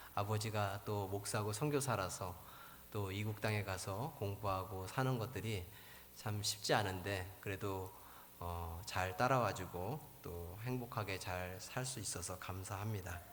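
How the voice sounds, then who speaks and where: In a room with audible echo, a man with a fairly low voice speaks fairly slowly with fairly even intonation. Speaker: missionary pastor. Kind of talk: sermon. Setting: church.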